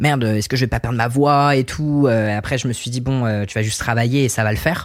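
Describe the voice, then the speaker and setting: A man's medium-pitched voice, very fast and fairly even in intonation. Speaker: singer-songwriter. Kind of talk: casual chat. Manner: hesitant, many fillers.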